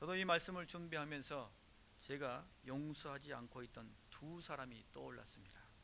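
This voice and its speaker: In a room with audible echo, a man with a fairly high pitch and a bright, sharp tone speaks at a moderate pace, with ordinary pitch variation and big swings in loudness. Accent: slight Jeolla. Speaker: pastor. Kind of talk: sermon. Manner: rhetorical questions to congregation.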